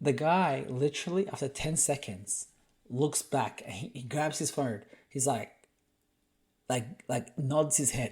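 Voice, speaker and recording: A man talks in an animated tone, somewhat breathy and fairly high in pitch, with ordinary pitch variation. His pace is fairly slow with long, frequent pauses, on a very clean recording with a silent background. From Australia. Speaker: podcast host. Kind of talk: casual storytelling chat.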